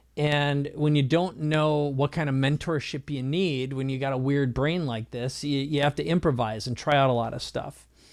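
In an American accent, a man with an unremarkable speaking voice talks at a moderate pace and a fairly high pitch, with fairly even intonation, on a very clean recording with a silent background. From US Midwest (Minnesota). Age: 50s. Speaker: business coach and entrepreneur. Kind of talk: casual interview.

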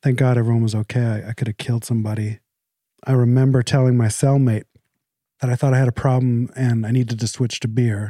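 This man talks at a fairly quick pace in a medium-pitched, dark, mellow voice with monotone, flat intonation and a dry, close sound with no echo. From Canada. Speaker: addiction treatment center co-founder in recovery. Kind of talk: casual chat. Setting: at home. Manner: calm; polite, proper.

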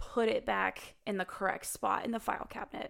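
At a moderate pace, a woman talks in an American accent. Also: very clean recording, silent background. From US Midwest. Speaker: therapist. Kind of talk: casual chat.

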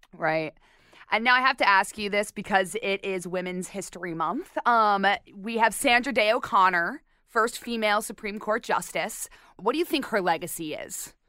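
In a very clean recording with a silent background, a woman with an American accent speaks at a moderate pace and medium pitch, her tone bright and sharp, with ordinary pitch variation. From Arizona. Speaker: podcast host. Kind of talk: interview.

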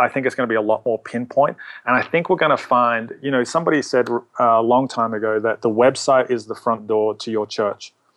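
Hardly pausing, a man with an American accent talks at a fairly quick pace with fairly even intonation, the sound dry and close with no echo. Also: medium pitch for a man. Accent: Australian, slight New Jersey tinge. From Australia, Melbourne. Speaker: church social media pastor. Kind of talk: casual interview.

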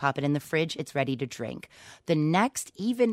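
A woman with an American accent and a very deep, low pitch speaks at a moderate pace in an upbeat tone, her pitch swinging very widely, in a very clean recording with a silent background and a dry, close sound with no echo. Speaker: tea shop owner. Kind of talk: radio interview.

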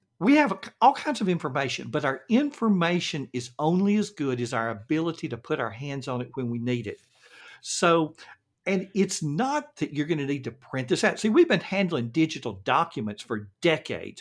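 Recorded very cleanly with a silent background, a man speaks with a Southern US accent at a fairly high pitch, his voice making very wide pitch swings. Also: moderate pace. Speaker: productivity coach. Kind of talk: interview.

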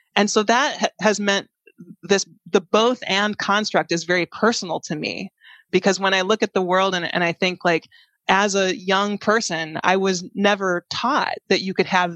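Against a quiet background, a woman with an American accent uses an unremarkable speaking voice at a medium pitch, with a moderate pace and fairly even intonation, in a dry, close sound with no echo. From US Midwest, Chicago area. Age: 40s. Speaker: tech strategist and keynote speaker. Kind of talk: interview conversation.

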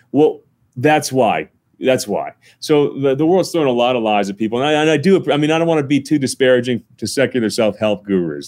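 A man with an American accent talks at a fairly quick pace in a normal speaking voice, medium in pitch, with lively intonation and a dry, close sound with no echo. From northern New Jersey. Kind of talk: interview.

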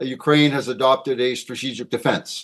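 A man in a normal speaking voice against a quiet background. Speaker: defense policy analyst. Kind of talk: panel interview answering questions.

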